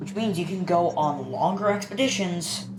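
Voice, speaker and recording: A woman with a fairly low pitch is heard in a room with audible echo, music playing in the background. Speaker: gaming YouTuber. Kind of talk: gameplay commentary. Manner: casual, halting.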